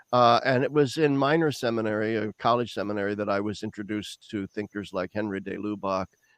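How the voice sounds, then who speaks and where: A man with a Midwestern US accent speaks at a fairly quick pace and fairly low pitch, with ordinary pitch variation. The background is quiet and the sound is dry and close with no echo. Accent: General American, Midwestern. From US Midwest, Lincoln, Nebraska. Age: 60s. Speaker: theologian. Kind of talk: interview. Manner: halting, many fillers and repetitions.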